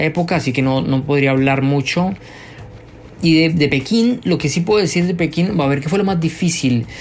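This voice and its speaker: Noticeable background noise can be heard throughout. Through it, a man talks with ordinary pitch variation. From Colombia, Bogotá. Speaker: journalist and writer. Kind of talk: interview. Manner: halting, many fillers and repeats.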